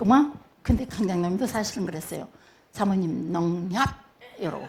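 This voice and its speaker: Speaking at a moderate pace in a strong Jeolla accent, a woman with a medium-pitched voice sounds animated, with noticeable background noise behind her. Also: lively intonation. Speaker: pastor's wife, church speaker. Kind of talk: sermon testimony.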